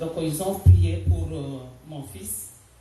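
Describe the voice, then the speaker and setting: Through audible room echo and noticeable background noise, a woman speaks in a Senegalese accent. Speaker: church member. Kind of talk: testimony. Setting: church. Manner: halting, with hesitations.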